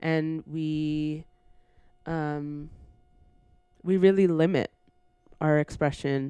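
A woman with a Canadian accent, very deep and low in pitch, dark and mellow in tone, flat and monotone, at a very slow pace with long, frequent pauses. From Brampton, Ontario, Canada. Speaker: writer and editor. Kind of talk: casual chat.

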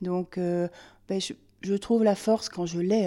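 This woman has a dark, mellow tone. Her pitch is medium. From France, Limousin. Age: 50s. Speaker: cancer patient. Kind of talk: casual chat. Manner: halting.

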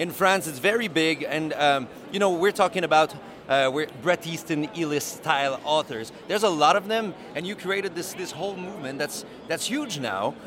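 With a Quebec accent, a man speaks at a moderate pace in a high pitch and lively intonation, over noticeable background noise. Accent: Québécois French. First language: French. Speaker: podcast interviewer. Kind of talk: interview. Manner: halting.

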